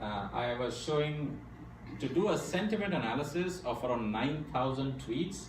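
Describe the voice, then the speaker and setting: Background noise is clearly audible, along with some room echo. Through it, a man talks at a moderate speed. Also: medium pitch for a man, lively intonation. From India. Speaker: AI speaker at a tech meetup. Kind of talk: technical presentation. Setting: meetup talk before an audience.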